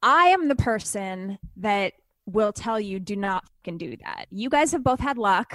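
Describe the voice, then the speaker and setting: At a fairly slow pace, a woman speaks in a plain, everyday voice at medium pitch, with lively intonation and big swings in loudness, in a dry, close sound with no echo. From Canada. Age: 40s. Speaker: TV host and author. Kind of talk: casual interview.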